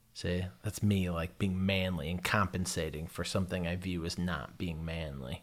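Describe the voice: With an American accent, a man speaks at a low pitch with fairly even intonation.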